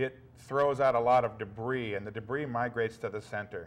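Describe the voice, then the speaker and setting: The man speaks fairly quickly, keeping his intonation fairly even. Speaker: guest. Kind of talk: interview answer. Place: studio. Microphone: lapel.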